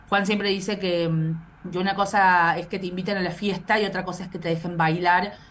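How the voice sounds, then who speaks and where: A woman with a medium pitch talks at a fairly quick pace with hardly any pauses. Her intonation is monotone and flat, with noticeable background noise behind her. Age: 30s. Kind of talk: interview. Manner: halting, many repetitions.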